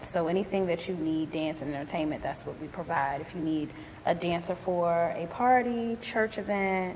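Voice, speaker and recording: A woman with a Philadelphia accent talks at a moderate pace. Noticeable background noise is present. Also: fairly low pitch for a woman, ordinary pitch variation. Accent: Philadelphia American English. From US, Philadelphia. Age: 30s. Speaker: entrepreneur, dance company owner. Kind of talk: interview testimony.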